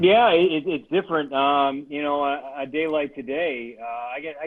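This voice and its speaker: A man speaks in an ordinary speaking voice at a fairly high pitch. His pitch variation is ordinary. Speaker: radio play-by-play announcer for a baseball team. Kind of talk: casual interview answer, storytelling. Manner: conversational, reflective.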